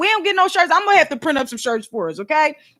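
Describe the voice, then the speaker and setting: Loud and animated, the voice has a bright, sharp tone with very wide pitch swings, on a very clean recording with a silent background. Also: woman. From Philadelphia, US. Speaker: YouTuber and podcast host. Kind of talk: casual chat.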